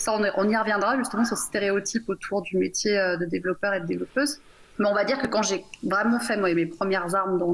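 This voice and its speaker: Over noticeable background noise, a woman with a medium pitch talks at a fairly quick pace, using ordinary pitch variation and very even loudness. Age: 40s. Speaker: software engineering team lead. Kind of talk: radio panel discussion. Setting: remote call into radio studio.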